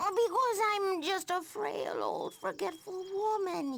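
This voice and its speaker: A female-sounding put-on character voice, pitched extremely high, speaks at a fairly slow pace. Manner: feigning frailty, swallowing words.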